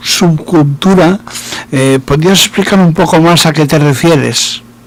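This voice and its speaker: Over noticeable background noise, a man with a fairly high pitch talks at a fairly slow pace, his loudness very even and his pitch variation ordinary. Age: 60s. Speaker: radio host. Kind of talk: interview.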